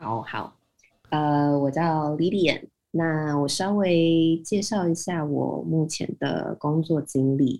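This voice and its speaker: Very slowly paced, the speech shows ordinary shifts in pitch. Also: woman, very deep, low pitch for a woman. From Taiwan. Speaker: IT business development manager. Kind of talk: interview.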